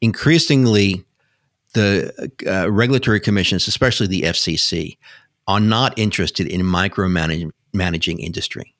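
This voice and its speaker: A man speaks with an American accent at a fairly low pitch and moderate pace. His pitch variation is ordinary, and the recording is very clean with a silent background. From New York City. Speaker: broadband policy expert. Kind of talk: interview. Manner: halting, hesitant.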